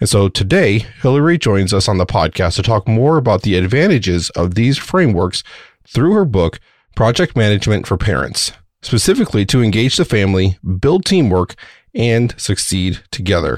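Using an ordinary speaking voice, a man talks in a fairly low pitch at a moderate pace, with lively intonation and very even loudness. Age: 40s. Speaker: podcast host. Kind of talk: interview; scripted narration.

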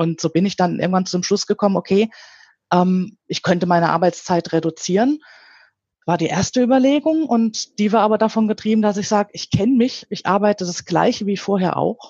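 A woman's fairly quick, medium-pitched delivery, a normal speaking voice with ordinary pitch variation. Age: 50s. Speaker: quality management consultant, chemist. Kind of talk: interview. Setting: phone call.

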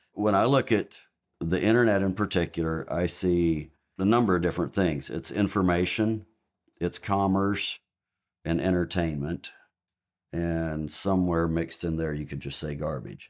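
With an American accent, a man speaks at a very deep, low pitch and moderate pace, using ordinary pitch variation. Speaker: Mennonite church member. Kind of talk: casual discussion.

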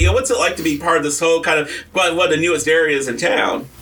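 With noticeable background noise, a man talks at a very fast pace and high pitch in an animated tone with ordinary pitch variation. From US, military brat (moved around). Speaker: radio host. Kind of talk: casual chat. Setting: radio studio.

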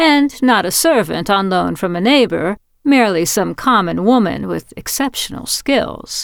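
A natural voice reading aloud

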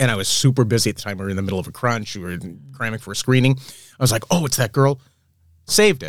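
A man with an American accent speaks very fast at a medium pitch, with ordinary pitch variation and big swings in loudness. The recording is very clean, with a silent background. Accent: Boston accent trained out, barely detectable. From Boston, Massachusetts. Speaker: film story artist. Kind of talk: casual chat.

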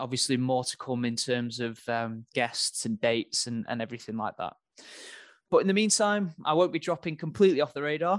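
Against a quiet background, a man talks in an ordinary speaking voice at medium pitch. His pace is fairly quick and his intonation is lively. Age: 20s. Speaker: podcast host. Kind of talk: solo monologue.

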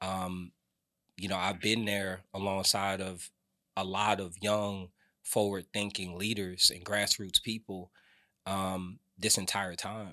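An American-accented man talks at a very slow pace in a fairly low pitch, with monotone, flat intonation. His tone is bright and sharp, and the recording is very clean with a silent background. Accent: New Jersey tinge with some Atlanta. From New Jersey. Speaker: city council candidate. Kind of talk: campaign interview.

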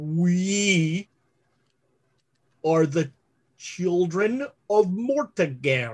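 In a put-on character voice, the speaker goes at a very slow pace with lively intonation and long, frequent pauses. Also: man, high pitch for a man. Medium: actual play. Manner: halting, repetitive, fragmentary.

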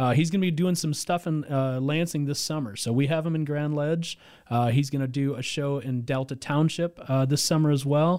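An unremarkable speaking voice from a man with fairly high pitch, a moderate pace, fairly even intonation and hardly any pauses, on a very clean recording with a silent background. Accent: American. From Mid-Michigan, US. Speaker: volunteer event organizer. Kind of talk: casual interview. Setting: radio studio.

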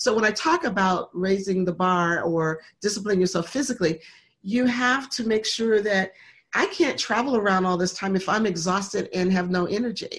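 A woman's somewhat breathy, medium-pitched voice at a moderate pace, with very even loudness, ordinary pitch variation and a very clean recording over a silent background. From Michigan. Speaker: motivational speaker and author. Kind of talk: interview.

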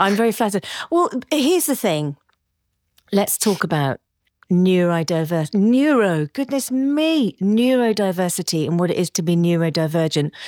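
In a very clean recording with a silent background, a woman speaks with an energetic tone at a medium pitch. Her pitch swings very widely while her loudness stays very even. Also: dry, close sound with no echo. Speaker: podcast host. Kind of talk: casual interview chat. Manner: fast talker; scattered, energetic.

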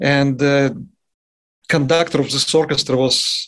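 A man with a Russian accent speaks at a fairly high pitch. His intonation stays flat and monotone. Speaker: jazz trumpet player. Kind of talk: interview.

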